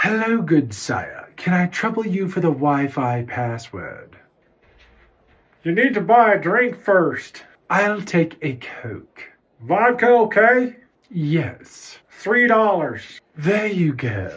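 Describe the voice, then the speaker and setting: A man's put-on character voice, high in pitch with very wide pitch swings, at a very slow pace. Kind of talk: comic overacting. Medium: solo performance.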